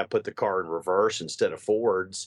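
Using an unremarkable speaking voice, a man talks at a fairly quick pace with lively intonation, the sound dry and close with no echo. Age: 40s. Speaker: political consultant. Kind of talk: interview.

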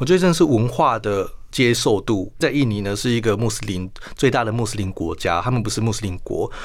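With an ordinary speaking voice, a man talks at a medium pitch with lively intonation and hardly any pauses. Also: fairly quick pace. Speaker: international news journalist. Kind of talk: radio interview.

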